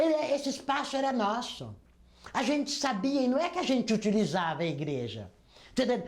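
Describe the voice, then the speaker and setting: This woman's voice sits high in pitch yet carries a dark, mellow tone. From Brazil, Campinas (São Paulo state). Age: 70s. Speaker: labor union leader and health worker. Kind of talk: oral history testimony.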